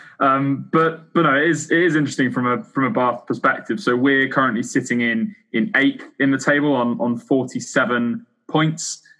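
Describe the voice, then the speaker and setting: With a normal speaking voice, a man talks in a fairly high pitch with lively intonation and hardly any pauses. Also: moderate pace. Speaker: podcast co-host. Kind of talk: casual podcast chat.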